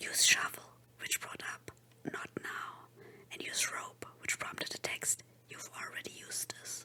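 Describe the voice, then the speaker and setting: Whispered words come at a fairly slow speed against noticeable background noise. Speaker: VTuber. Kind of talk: horror story reading.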